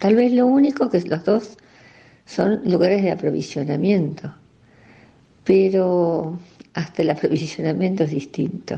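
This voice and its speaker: A woman's somewhat breathy, dark and mellow voice in an Argentine accent, medium in pitch and fairly slow, with lively intonation and long, frequent pauses. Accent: Rioplatense Argentine Spanish. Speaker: local resident sharing memories. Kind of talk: recorded personal reminiscence.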